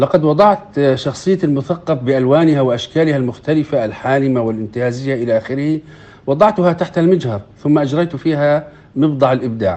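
A normal speaking voice from a man, fairly high in pitch, moderately paced, its pitch varying in an ordinary way. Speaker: poet, writer and journalist. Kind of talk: interview.

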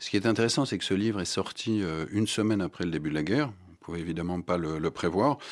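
A man with a very deep, low pitch and ordinary pitch variation, talking at a very fast pace in a very clean recording with a silent background. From France, Strasbourg (Alsace). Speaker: writer. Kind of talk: radio interview.

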